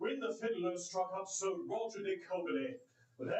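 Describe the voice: Just plain reading aloud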